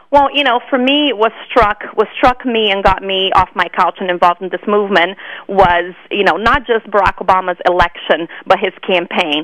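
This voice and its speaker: A woman talks at a moderate pace with a Brazilian accent and ordinary pitch variation. She hardly pauses, and there is noticeable background noise. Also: medium pitch for a woman. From Brazil (Rio de Janeiro). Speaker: political activist. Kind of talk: interview. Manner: repetitive false starts.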